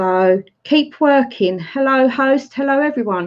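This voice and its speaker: A woman with an English accent, fairly slow, her pitch swinging very widely, against a quiet background. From Essex, England. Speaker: YouTube live streamer. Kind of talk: casual chat. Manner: animated.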